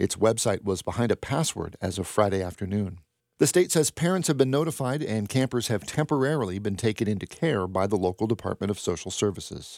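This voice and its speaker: A man talks at a fairly quick pace in an ordinary speaking voice. The sound is dry and close, with no echo. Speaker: radio news host. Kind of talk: newsreading. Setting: studio. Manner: formal, even-paced and neutral; crisp and matter-of-fact.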